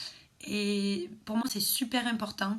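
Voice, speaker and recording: A woman's fairly high voice, monotone and flat in intonation, over noticeable background noise. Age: 20s. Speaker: beautician. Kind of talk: personal vlog monologue. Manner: hesitant, many fillers.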